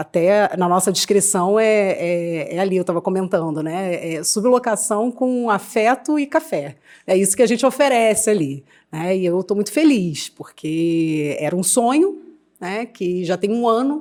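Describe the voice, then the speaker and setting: A woman with a medium pitch and lively intonation speaks at a fairly slow pace. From Rio de Janeiro, Brazil. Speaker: psychologist. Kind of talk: podcast interview.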